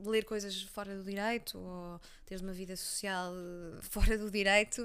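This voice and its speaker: A woman speaks with a Leiria accent. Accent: Leiria accent, people mistake it for Cascais. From Portugal, Leiria. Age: 20s. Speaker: journalist and content creator. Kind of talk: casual interview chat. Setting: at the host's home.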